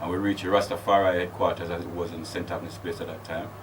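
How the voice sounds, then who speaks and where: A man speaks over noticeable background noise. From Jamaica, Clarendon, then London. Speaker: Rastafari chaplain. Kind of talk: interview.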